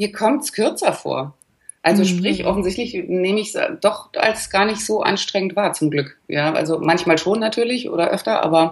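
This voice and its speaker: A somewhat breathy woman speaks at a medium pitch and a moderate pace with lively intonation. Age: 40s. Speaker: life coach. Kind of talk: interview.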